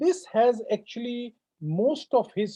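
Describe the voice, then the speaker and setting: A man speaks in a Punjabi accent. His intonation is lively. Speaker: professor. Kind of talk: Q&A answer after a lecture. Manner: halting, many fillers.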